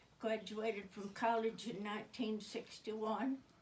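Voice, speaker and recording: A woman's fairly slow, somewhat breathy speech at a fairly high pitch with an American accent. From Oklahoma. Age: 80s+. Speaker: comedian. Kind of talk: stand-up.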